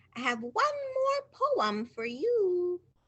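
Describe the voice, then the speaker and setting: Squeaky and extremely high, a woman's put-on character voice leaps through very wide pitch swings. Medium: read story. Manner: playful, sing-song.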